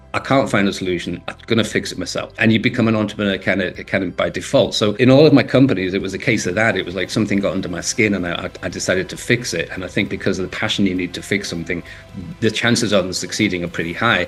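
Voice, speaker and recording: Against noticeable background noise, a man of fairly low pitch speaks at a very fast pace with hardly any pauses and ordinary pitch variation. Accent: Liverpool. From northern England, Liverpool. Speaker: entrepreneur and author. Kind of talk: interview.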